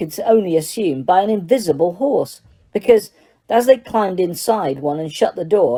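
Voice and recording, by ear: Someone is reading aloud in a natural voice. The intonation is lively.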